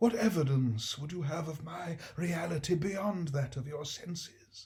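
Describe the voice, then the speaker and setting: A man puts on a character voice, pitched high. He moves at a moderate pace. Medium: read story. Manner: grave, slow, doom-laden.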